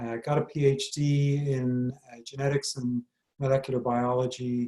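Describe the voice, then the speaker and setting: In a slight Irish accent, a man speaks in a monotone, flat delivery with a dark, mellow tone. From Ireland. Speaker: medical school dean and professor. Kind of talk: interview.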